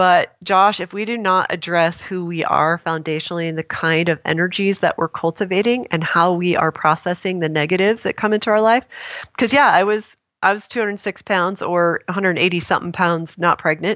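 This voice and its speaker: A woman with an American accent speaks in an unremarkable speaking voice at a fairly low pitch. Her pace is fairly quick, with fairly even intonation and hardly any pauses. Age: 50s. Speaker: wellness author and entrepreneur. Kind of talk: interview conversation.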